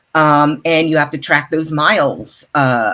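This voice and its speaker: A woman speaks slowly enough to sound fairly slow, in a very deep, low pitch with fairly even intonation. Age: 60s. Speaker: actor, model and voice artist. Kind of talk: interview. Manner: casual, conversational with fillers.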